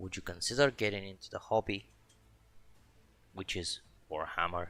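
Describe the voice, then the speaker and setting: A man speaks at a moderate pace with a non-native accent. His pitch varies in an ordinary way. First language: not English. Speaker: miniature painting streamer. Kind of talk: live stream painting commentary. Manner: casual, self-talk with hesitations.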